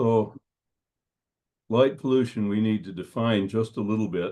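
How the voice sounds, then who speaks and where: The delivery has fairly even intonation at a moderate pace. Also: man. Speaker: dark sky presenter. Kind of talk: presentation.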